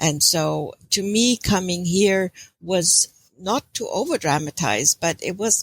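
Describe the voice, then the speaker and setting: A woman speaks at medium pitch with a German accent, at a fairly slow pace. The recording is very clean, with a silent background. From Germany. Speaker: intuitive counselor. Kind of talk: interview.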